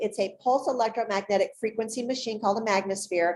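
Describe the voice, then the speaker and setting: Her dark, mellow tone comes at a fairly quick pace on a very clean recording with a silent background. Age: 60s. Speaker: holistic pet health expert. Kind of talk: interview presentation.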